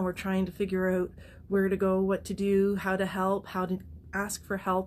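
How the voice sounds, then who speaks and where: At a fairly quick pace, a woman talks in a somewhat breathy voice at medium pitch. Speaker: artist running a charity fundraiser. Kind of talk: livestream monologue. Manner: halting, with repetitions.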